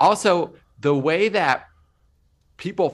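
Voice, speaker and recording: Very slow and marked by vocal fry, the man's speech unfolds. Wide, sweeping pitch swings run all through it. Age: 20s. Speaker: social media content creator. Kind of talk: casual interview chat. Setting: video call.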